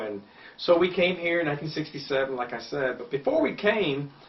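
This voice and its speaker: A man at a moderate pace, with ordinary pitch variation and noticeable background noise. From Cuba. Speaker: political candidate. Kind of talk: interview.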